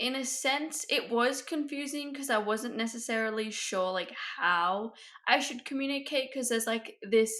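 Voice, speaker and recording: Here a woman speaks at a fairly high pitch. Her tone is bright and sharp. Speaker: podcast co-host. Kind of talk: casual chat.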